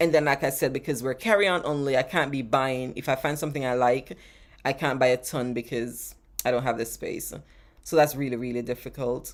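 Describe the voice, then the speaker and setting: An animated woman with a Jamaican accent, a very deep, low pitch and ordinary pitch variation, at a fairly quick pace on a very clean recording with a silent background. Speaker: travel vlogger. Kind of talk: live stream Q&A chat.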